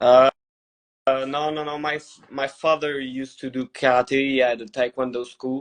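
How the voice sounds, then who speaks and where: A man with a Quebec French accent speaks at a moderate pace. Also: medium pitch for a man. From Montreal, Quebec, Canada. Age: 20s. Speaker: MMA fighter. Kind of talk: casual interview. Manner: halting.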